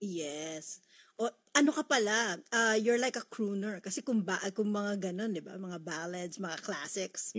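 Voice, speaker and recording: Speaking in an ordinary speaking voice, a woman keeps a fairly slow pace and medium pitch, with lively intonation. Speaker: radio host. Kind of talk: radio show hosting. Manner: upbeat.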